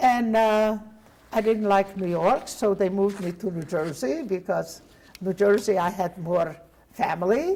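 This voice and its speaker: Speaking at a fairly slow pace, a woman with a Hungarian accent has a dark, mellow tone. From Hungary. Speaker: Holocaust survivor. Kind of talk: testimony interview.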